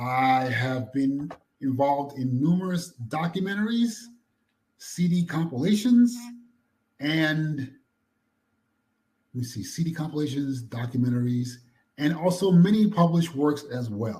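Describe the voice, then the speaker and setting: With an American accent, a man speaks in a dark, mellow, somewhat breathy voice at a fairly high pitch, using lively intonation at a fairly slow pace with long, frequent pauses. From New York (Queens). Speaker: music archivist and historian. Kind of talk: interview. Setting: call from a library. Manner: soft-spoken.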